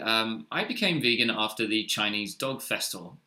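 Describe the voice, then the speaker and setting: Speaking at a moderate pace, a man of medium pitch has a bright, sharp tone and ordinary pitch variation. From Australia, Sydney. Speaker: startup co-founder. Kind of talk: webinar presentation. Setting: online webinar. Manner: hesitant, many fillers.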